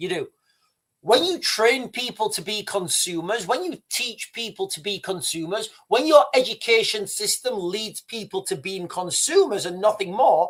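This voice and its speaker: A man speaks in a British accent with a bright, sharp tone. His pace is moderate, and his pitch swings very widely. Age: 50s. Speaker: YouTube commentator. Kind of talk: live stream commentary. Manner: animated.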